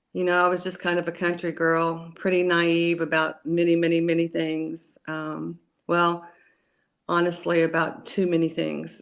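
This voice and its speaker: A woman with an American accent speaks at a moderate pace in a fairly low, monotone, flat voice on a very clean recording with a silent background. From Oklahoma, US (rural, McLoud). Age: 60s. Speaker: cannabis grower and former teacher. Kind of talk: interview. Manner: hesitant, many fillers.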